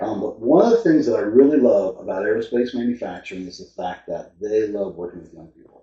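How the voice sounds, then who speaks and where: Talking at a very fast pace with hardly any pauses, a man lets his loudness swing widely. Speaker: economic development presenter at city council. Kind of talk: public presentation. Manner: hesitant with many fillers.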